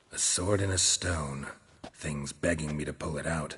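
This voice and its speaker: A very deep, low put-on character voice from a man, delivered at a moderate pace. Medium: video game. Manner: terse, dry.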